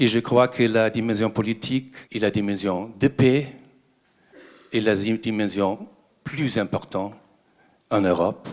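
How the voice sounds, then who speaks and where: A man at a medium pitch, speaking at a very slow pace with long, frequent pauses and fairly even intonation. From Germany. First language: German (speaking French). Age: 60s. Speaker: ambassador, audience member asking a question. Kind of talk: audience question at a conference debate. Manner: halting, with hesitations.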